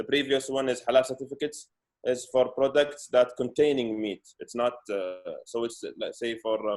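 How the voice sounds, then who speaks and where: Medium in pitch, a man's voice holds a moderate pace with fairly even intonation. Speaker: food safety expert presenter. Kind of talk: webinar presentation. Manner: halting, many fillers and repetitions.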